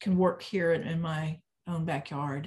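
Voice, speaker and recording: A somewhat breathy woman's voice with an American accent, fairly low in pitch, at a moderate pace. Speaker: filmmaker. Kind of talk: interview.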